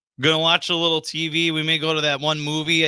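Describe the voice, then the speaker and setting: Here is a man with an Upper Midwest accent and a fairly high pitch. His tone is bright and sharp, and the sound is dry and close with no echo. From Wisconsin, Sheboygan County. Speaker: radio host. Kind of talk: casual chat.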